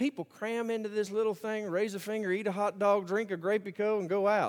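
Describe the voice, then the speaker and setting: A man with an Alabama accent and a high pitch. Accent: Southern US (Alabama). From US South, Birmingham, Alabama. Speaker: pastor. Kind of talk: sermon. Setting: church.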